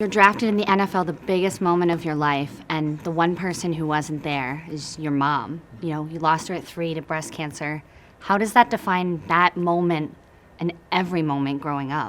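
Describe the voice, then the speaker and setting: A woman with an ordinary speaking voice, fairly low in pitch, talks at a moderate pace with ordinary pitch variation. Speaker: sports broadcaster, reporter. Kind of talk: sports interview questions to an athlete.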